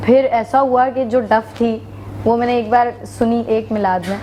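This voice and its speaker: Noticeable background noise sits behind the speaker. She is a woman with a fairly high pitch. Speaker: naat reciter and teacher. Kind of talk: interview.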